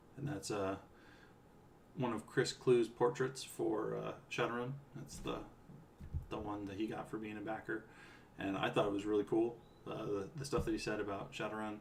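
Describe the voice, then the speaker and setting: This man has an American accent and a fairly low pitch. He speaks at a moderate pace with fairly even intonation and long, frequent pauses. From US West Coast, California. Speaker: game writer streaming a playthrough. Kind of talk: casual live-stream commentary. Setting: live stream at home. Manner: relaxed, with frequent fillers.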